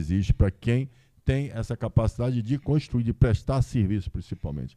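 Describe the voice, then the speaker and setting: The tone is dark and mellow, with lively intonation at a fairly quick pace. The sound is dry and close with no echo. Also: man. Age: 60s. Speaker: businessman and lawyer. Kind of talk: live podcast interview. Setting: stage with audience.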